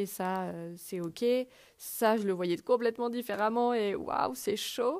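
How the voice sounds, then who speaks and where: The recording is very clean, with a silent background. A woman speaks at a very slow pace with fairly even intonation. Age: 30s. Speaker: podcast host. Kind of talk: personal monologue. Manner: hesitant with fillers.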